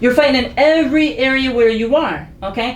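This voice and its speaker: A high-pitched woman with an American accent and ordinary pitch variation, amid noticeable background noise and audible room echo. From Philadelphia (West Philly). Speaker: podcast panelist. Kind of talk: casual chat. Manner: soft-spoken.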